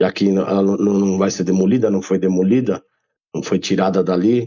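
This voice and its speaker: This man has an unremarkable speaking voice, fairly low in pitch, with ordinary pitch variation. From São Paulo, Brazil. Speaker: rapper and former graffiti writer. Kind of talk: casual interview chat.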